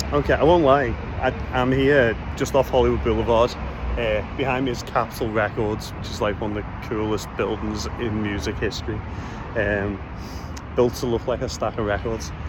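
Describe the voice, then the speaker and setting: Speaking at a moderate pace in a Liverpool accent, a man with a fairly low pitch is heard through noticeable background noise and audible room echo. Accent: Liverpool (Scouse). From Liverpool, England. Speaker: podcast host and Beatles guide. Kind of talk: casual vlog narration. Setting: outdoors on location. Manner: animated.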